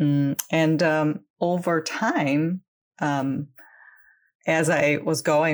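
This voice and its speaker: Her intonation fairly even, a woman speaks. The recording is very clean, with a silent background. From Ukraine, Crimea. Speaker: business coach for online language teachers. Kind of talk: interview.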